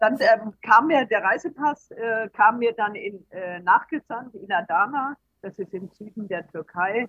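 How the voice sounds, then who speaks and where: A woman speaks at a fairly slow pace in an unremarkable speaking voice, fairly high in pitch, with ordinary pitch variation. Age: 60s. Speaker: traveller and author. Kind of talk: interview. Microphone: poor recording quality.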